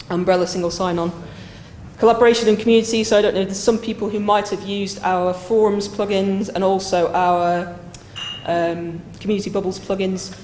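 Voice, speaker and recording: A woman of medium pitch talks at a fairly quick pace in a monotone, flat way, with audible room echo. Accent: northern British. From northern England. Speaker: software consultant and project manager. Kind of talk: conference lightning talk. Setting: stage with live audience.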